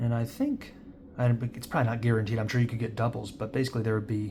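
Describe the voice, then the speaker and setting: A man's somewhat breathy voice has a medium pitch and a dark, mellow tone. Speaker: trading card collector and seller. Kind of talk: casual pack-opening commentary. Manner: raised voice over noise.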